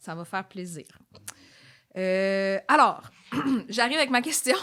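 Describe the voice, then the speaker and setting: A woman speaks at a fairly slow pace and a medium pitch, with lively intonation and big swings in loudness. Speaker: citizen speaking at council meeting. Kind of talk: public comment at council meeting.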